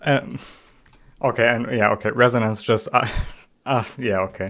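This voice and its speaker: Over a very clean recording with a silent background, a man speaks with a German accent. His pace is fairly slow. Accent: German accent, noticeable. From Germany. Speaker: game streamer. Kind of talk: live stream commentary. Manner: halting, many fillers and restarts.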